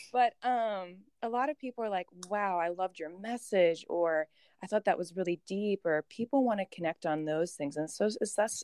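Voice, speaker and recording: Over a quiet background, a woman with an unremarkable speaking voice talks at a fairly quick pace at medium pitch, her intonation lively and the sound dry and close with no echo. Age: 20s. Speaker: fitness competitor. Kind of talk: casual interview chat.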